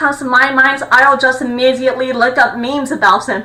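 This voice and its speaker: Over noticeable background noise, a woman projects a raised, high-pitched voice at a fairly quick pace. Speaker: YouTuber. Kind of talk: monologue. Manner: fast; stutters when overexcited.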